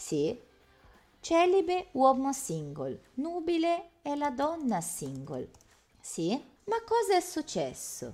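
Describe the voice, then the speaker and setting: Over music in the background, a woman with a Portuguese accent speaks at a very slow pace with long, frequent pauses. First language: Portuguese (speaking Italian). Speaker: Italian language teacher. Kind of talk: interactive online language lesson.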